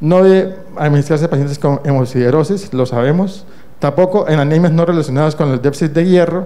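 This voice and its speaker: Speaking at a fairly quick pace in a room with audible echo, a man with a fairly high pitch keeps his loudness very even and his pitch variation ordinary. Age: 60s. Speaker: internal medicine doctor and professor. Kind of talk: conference lecture. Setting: conference stage with audience.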